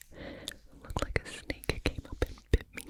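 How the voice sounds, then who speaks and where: Someone whispers over noticeable background noise. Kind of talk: ASMR whisper rambles. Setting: close-up studio mic. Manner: whispered, close to mic.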